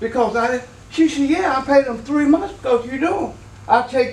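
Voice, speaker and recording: A man speaks in an animated tone at an extremely high pitch. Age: 70s. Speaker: resident speaking at city council. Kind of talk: public comment at meeting.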